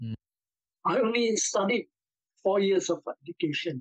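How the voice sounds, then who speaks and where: A man speaks in a high voice, the sound dry with no echo and the background quiet. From Singapore. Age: 70s. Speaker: blogger recalling childhood memories. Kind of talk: oral history interview. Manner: halting. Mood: reflective reminiscing. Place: home room. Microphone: video call.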